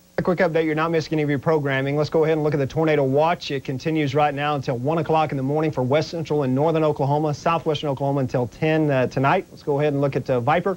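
A man speaks at a very fast pace with monotone, flat intonation. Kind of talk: weather bulletin. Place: studio.

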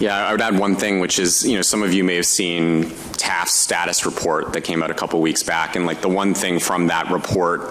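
Against light background noise, a man with a Canadian accent speaks in a very deep, low pitch with fairly even intonation. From Canada. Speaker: panel moderator, consultant; panel moderator. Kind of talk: moderated panel discussion. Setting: stage with audience. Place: hall. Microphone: podium.

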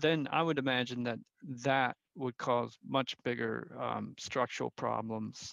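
In a dry recording with no echo and a quiet background, a man uses a normal speaking voice, moderate pace and fairly even intonation. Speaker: geospatial science researcher. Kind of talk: news interview. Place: office. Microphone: headset.

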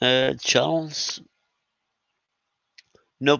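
A man is speaking. His tone is fairly bright and his intonation fairly even.

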